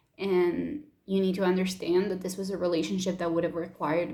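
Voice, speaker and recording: A woman with a Spanish accent, medium pitch and monotone, flat intonation, plus audible room echo. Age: 20s. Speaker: YouTuber. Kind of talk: personal vlog.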